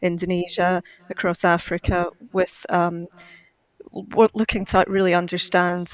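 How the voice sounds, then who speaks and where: In a Glaswegian accent, a woman talks at a fairly slow pace with a fairly low pitch. Her intonation is monotone and flat, and the sound is dry and close with no echo. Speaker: climate finance expert. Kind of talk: panel discussion. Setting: video call.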